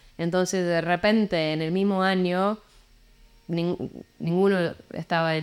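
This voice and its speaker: Her fairly low-pitched voice, with fairly even intonation, comes through on a very clean recording with a silent background. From England, Portsmouth. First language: English (speaking Spanish). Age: 40s. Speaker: musician. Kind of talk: interview conversation. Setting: hostel in Lima. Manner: halting, many repeats and fillers.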